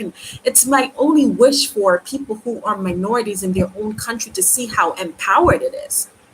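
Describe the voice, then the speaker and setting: Noticeable background noise runs under this woman's voice. Her intonation is lively. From Jamaica. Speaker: YouTuber. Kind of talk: live stream commentary. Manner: halting.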